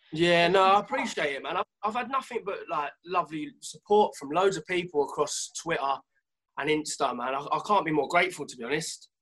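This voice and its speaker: With a London accent, a man talks at a fairly quick pace in a high pitch, his tone bright and sharp, his intonation lively and his loudness swinging widely. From North London, England. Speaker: singer-songwriter. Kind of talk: casual chat.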